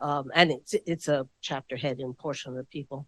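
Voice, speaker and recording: The woman speaks with a New York accent at a moderate pace. Her sound is dry and close with no echo. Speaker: historian. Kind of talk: audience question at book talk.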